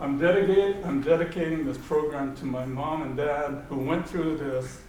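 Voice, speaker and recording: A man with an American accent speaks at a moderate pace in a fairly high pitch. Noticeable background noise and audible room echo are in the recording. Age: 80s+. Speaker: war survivor. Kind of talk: lecture. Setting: lecture hall with audience. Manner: animated; halting.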